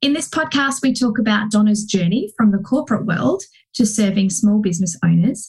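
A woman's fairly high voice comes across somewhat breathy. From UK. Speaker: podcast host and business coach. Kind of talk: podcast interview.

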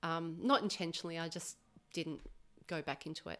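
A woman speaks with an Australian accent. The recording is very clean, with a silent background. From Australia, Melbourne. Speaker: massage therapist. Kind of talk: casual interview. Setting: her home.

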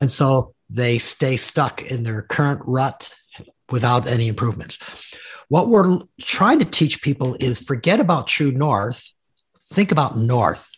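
A somewhat breathy man's voice at medium pitch, with lively intonation and a fairly slow pace, over a quiet background. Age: 60s. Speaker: executive coach and author. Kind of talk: interview.

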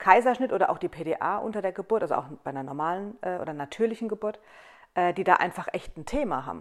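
Over a very clean recording with a silent background, a woman speaks in a plain, everyday voice at medium pitch with lively intonation. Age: 30s. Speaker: hairdresser and salon owner. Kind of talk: casual chat. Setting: on a couch at her home.

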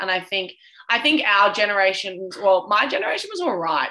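An Australian accent against noticeable background noise. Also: woman. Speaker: podcast co-host. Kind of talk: casual chat.

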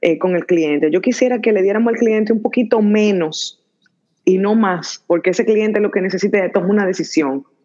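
A woman's fairly high voice with a dark, mellow tone, at a fairly quick pace. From Dominican Republic. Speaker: entrepreneur. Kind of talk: interview. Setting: live stream.

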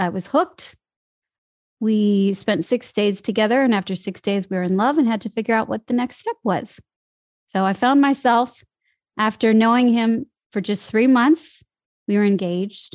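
Pausing long and often, a woman speaks at a moderate pace and fairly high pitch with ordinary pitch variation, the sound dry and close with no echo. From US Midwest. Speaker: voice and dialect coach. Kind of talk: casual interview chat. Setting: online call.

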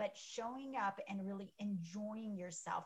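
With a somewhat breathy voice, a woman talks at a medium pitch and ordinary pitch variation. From Iran, moved to US at age 10. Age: 40s. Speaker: pediatrician and clinic owner. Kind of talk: interview conversation.

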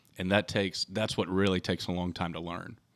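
On a very clean recording with a silent background, a man with a Texan accent and a very deep, low pitch speaks at a fairly quick pace with fairly even intonation. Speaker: custom hat maker, family business owner. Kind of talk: interview. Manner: halting with fillers.

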